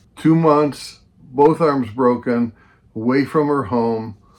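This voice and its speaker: Pitched in the medium range, a man's voice moves with ordinary pitch variation. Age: 70s. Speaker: documentary narrator, brother of scam victim. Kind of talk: documentary narration.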